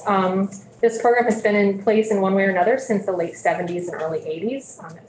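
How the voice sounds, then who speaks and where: A woman speaks with ordinary pitch variation amid light background noise. Audible room echo surrounds her voice. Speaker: state tax division director. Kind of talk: committee testimony. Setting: legislative committee room. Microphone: video call.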